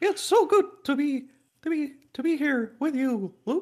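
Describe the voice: Using a put-on character voice, a man talks very slowly at an extremely high pitch.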